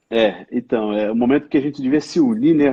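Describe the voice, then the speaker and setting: The speaker is a man. He talks in an interior São Paulo accent. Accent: caipira accent of interior São Paulo. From Cruzeiro, São Paulo state interior, Brazil. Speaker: hospital IT executive. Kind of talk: live-stream interview.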